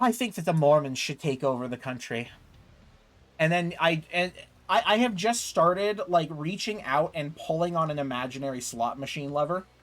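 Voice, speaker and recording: A man with an American accent and a plain, everyday voice, lively intonation, and a moderate pace. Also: fairly high pitch for a man. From United States. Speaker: gaming streamer. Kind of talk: casual chat while gaming, reading chat aloud. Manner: casual, filler-heavy with frequent repeats.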